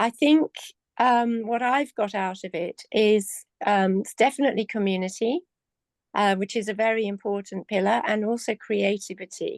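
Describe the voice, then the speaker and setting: In an English accent, a woman with a fairly high pitch speaks at a moderate pace against a quiet background, the sound dry and close with no echo. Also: ordinary pitch variation. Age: 70s. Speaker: community member. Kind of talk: testimony. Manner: halting.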